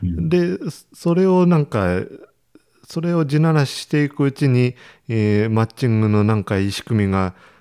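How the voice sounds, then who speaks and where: In an Ishikawa accent, a man with a medium pitch and dark, mellow tone speaks at a moderate pace with very wide pitch swings, in a dry, close sound with no echo on a very clean recording with a silent background. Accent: Ishikawa (Hokuriku) dialect. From Ishikawa, Japan. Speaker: rice farmer and podcast host. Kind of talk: casual chat.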